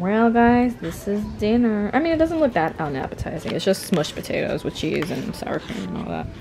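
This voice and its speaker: Over music in the background, the voice moves at a fairly quick pace with very wide pitch swings. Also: woman. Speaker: vlogger. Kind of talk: casual vlog chat.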